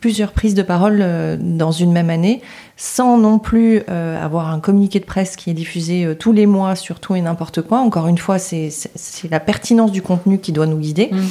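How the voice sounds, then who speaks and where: There is noticeable background noise behind this speaker. A woman talks at a medium pitch. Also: ordinary pitch variation, moderate pace. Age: 40s. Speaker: public relations agency founder. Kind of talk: podcast interview.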